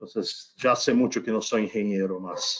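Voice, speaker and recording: A man speaks fairly slowly with a Brazilian accent. His pitch varies in an ordinary way. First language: Portuguese (speaking Spanish). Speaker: company executive, panel guest. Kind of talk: panel discussion.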